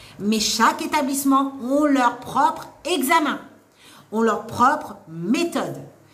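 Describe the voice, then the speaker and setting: A loud, animated voice with lively intonation, noticeable background noise and audible room echo. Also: woman. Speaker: nursing assistant trainer and author. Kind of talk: live stream Q&A advice. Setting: live stream.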